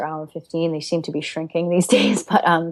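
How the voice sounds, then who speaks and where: A woman's fairly low voice with a slight Rhode Island accent. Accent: slight Rhode Island accent, scaled down. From Alaska and Rhode Island. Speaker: yoga teacher. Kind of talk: interview. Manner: reflective, with many fillers and repeats.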